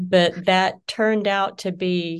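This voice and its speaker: A woman's voice, fairly low in pitch, in a Southern US accent. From US South (Georgia). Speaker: business founder. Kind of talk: interview.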